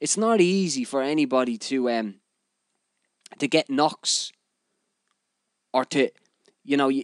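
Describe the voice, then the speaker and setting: With a Dublin accent, a man speaks at a fairly slow pace with long, frequent pauses, his fairly high pitch moving in lively intonation, the sound dry and close with no echo. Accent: Dublin Irish. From Ireland, Dublin (Finglas). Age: 30s. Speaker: podcast host, DJ. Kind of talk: casual monologue. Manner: animated.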